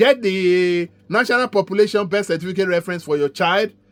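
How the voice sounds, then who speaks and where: Over background music, a man speaks in an animated tone at a moderate pace and high pitch, the sound dry and close with no echo. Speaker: community organiser. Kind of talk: informational update.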